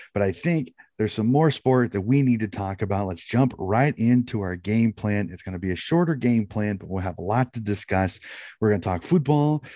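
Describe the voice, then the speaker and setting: On a very clean recording with a silent background, a man speaks at a fairly quick pace, his fairly low voice dark and mellow, with lively intonation. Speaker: sports podcast host. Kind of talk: casual sports chat.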